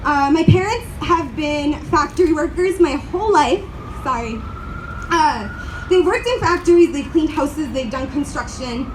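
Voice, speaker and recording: Amid noticeable background noise and audible room echo, a woman with an American accent speaks at a moderate pace in an extremely high, shaky voice with very wide pitch swings. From grew up in the US, family from Uruguay. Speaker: community organizer. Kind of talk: rally speech.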